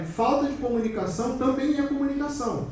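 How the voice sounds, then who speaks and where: Over noticeable background noise and audible room echo, a man talks in an animated tone with a Rio de Janeiro accent. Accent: Rio de Janeiro (carioca) Portuguese. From Brazil, Rio de Janeiro. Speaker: security conference speaker. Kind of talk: conference talk. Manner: animated, conversational.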